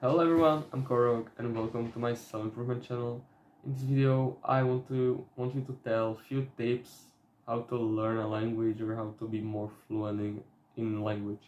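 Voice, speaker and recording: Speaking with a Slovak accent, a man uses a medium pitch and a fairly even intonation. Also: moderate pace. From Slovakia. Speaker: self-improvement youtuber. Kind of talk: casual vlog talk. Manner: halting, with fillers.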